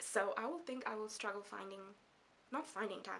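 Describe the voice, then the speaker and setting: Speaking at a very fast pace, a woman with a Namibian accent has a fairly high pitch. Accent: Namibian English, self-conscious about it. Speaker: book vlogger. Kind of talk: casual vlog talk to camera. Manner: animated, chatty; halting with fillers.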